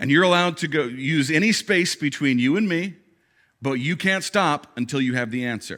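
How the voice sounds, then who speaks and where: A man's fairly high, bright, sharp voice with lively intonation at a moderate pace, on a very clean recording with a silent background. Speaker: pastor. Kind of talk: sermon. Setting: church stage with audience.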